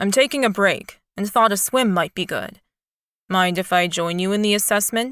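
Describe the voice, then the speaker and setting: A woman's put-on character voice, medium in pitch, with ordinary pitch variation and a moderate pace. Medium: read story.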